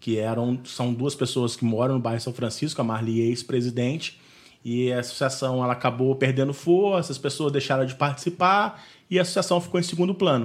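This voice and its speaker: A man talks in a plain, everyday voice, keeping a medium pitch, a moderate pace and ordinary pitch variation. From Valença, Rio de Janeiro state, Brazil. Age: 30s. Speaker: neighborhood association president. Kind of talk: interview. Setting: video call.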